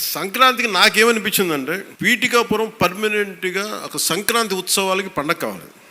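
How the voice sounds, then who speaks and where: A man uses a raised, projected voice at a high pitch with ordinary pitch variation. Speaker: politician, deputy chief minister. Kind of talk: public speech.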